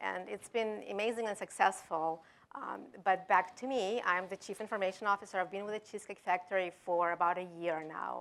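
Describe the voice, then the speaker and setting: Someone with a European accent speaks at a fairly quick pace with hardly any pauses. The intonation stays fairly even. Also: woman, medium pitch for a woman. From Denmark. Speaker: technology executive. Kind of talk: panel discussion.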